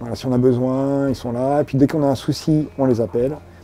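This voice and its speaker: A man speaks with music playing in the background. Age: 50s. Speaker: foster carer. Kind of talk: interview.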